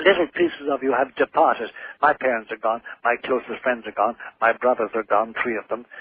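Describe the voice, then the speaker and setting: This man has an Irish accent and a medium pitch. He keeps a fairly quick pace with ordinary pitch variation. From Ireland. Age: 70s. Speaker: priest and author. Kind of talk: radio interview.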